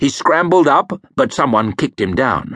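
A man at a moderate pace, with vocal fry. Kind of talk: audiobook narration of a fantasy novel. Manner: measured, gritty storytelling, shifting into gruff character voices for dialogue.

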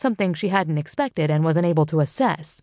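A woman's dramatic delivery in a dark, mellow tone, against a quiet background. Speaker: audiobook narrator. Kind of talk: audiobook narration of a mystery novel, with character dialogue. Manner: dramatic, expressive, measured storytelling pace.

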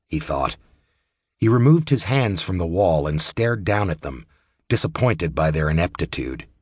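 Against a quiet background, a man with a very deep, low pitch and a somewhat breathy voice speaks at a moderate pace, his pitch swinging very widely. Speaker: audiobook narrator. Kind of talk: audiobook narration, unabridged fantasy fiction read aloud in a steady storyteller voice. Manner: measured, moody and descriptive, narrating with a smooth, even pace.

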